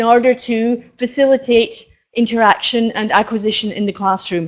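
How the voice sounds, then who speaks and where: A woman speaks in a Scottish accent. Her pitch is high. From Scotland. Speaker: professor. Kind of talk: conference lecture. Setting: stage with audience. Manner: hesitant.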